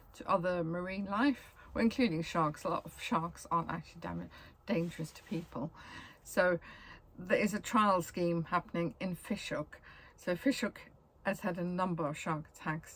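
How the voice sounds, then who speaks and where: A woman's somewhat breathy voice sits at a fairly low pitch with ordinary pitch variation. Her loudness swings widely. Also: moderate pace. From South Africa, Cape Town. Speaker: travel vlogger. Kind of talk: casual travel guide monologue. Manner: casual, with frequent ums and self-corrections.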